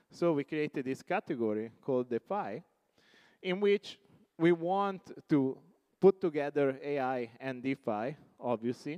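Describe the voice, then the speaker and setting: With an Italian accent, the speaker talks at a fairly slow pace with ordinary pitch variation, in a dry, close sound with no echo. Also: man. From Italy. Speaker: tech company CEO. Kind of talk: conference keynote. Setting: stage with audience.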